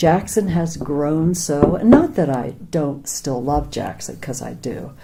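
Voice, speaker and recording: Amid audible room echo, a woman with an American accent speaks very slowly in a very deep, low voice, with lively intonation and big swings in loudness. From Pennsylvania, near Philadelphia. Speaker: former ranch worker. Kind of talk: oral history interview.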